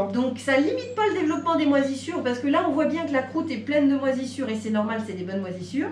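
Against light background noise and audible room echo, a woman speaks at a high pitch. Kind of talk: explanation to a visitor. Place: shop. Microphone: camera far.

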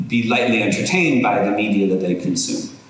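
A man with ordinary pitch variation in strong room echo. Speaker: university lecturer. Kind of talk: lecture. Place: hall. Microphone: podium.

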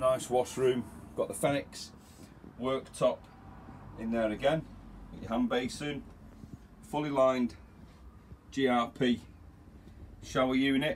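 Over light background noise, a man speaks at a fairly slow pace with fairly even intonation and long, frequent pauses. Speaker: caravan salesperson. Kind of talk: product walkthrough commentary. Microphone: phone near.

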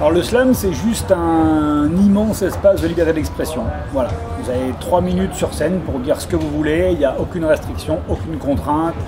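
Over clear music in the background, a man's pitch swings very widely. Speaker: slam master / event presenter. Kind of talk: interview answer promoting a slam event. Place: hall. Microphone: camera far.

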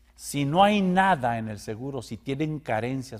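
Lively intonation from a man, the background quiet. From Mexico. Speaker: news show co-host. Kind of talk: casual news commentary. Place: studio. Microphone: lapel.

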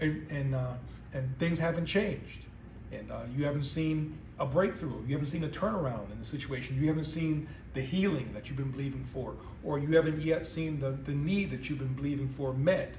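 A man at a fairly quick pace, fairly even in intonation, with audible room echo and light background noise. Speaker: pastor. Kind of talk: sermon. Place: home room. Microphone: phone near.

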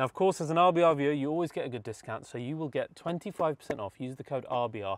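Here a man talks at a moderate pace. The sound is dry, with no echo. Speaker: car channel host. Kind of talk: sponsor read. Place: car. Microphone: lapel.

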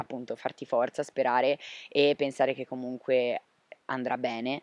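A man speaks in a monotone with flat intonation. The sound is dry, with no echo. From Liguria, Sanremo; Liguria. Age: 20s. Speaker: interviewee. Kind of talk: interview testimony. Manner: hesitant, with fillers. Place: garden. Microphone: handheld.

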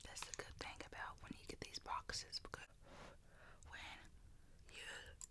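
Whispering in a Southern US accent, a woman talks at a fairly slow pace. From US South. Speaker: ASMR creator. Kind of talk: ASMR eating video, casual talk to camera. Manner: casual, chatty. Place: home room. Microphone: studio mic.

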